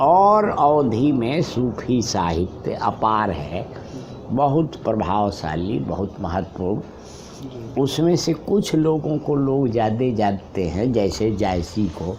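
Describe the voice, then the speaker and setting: Against noticeable background noise, the voice rushes on with hardly any pauses and very wide pitch swings. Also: man, medium pitch for a man. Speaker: literary critic, professor. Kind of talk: interview answer.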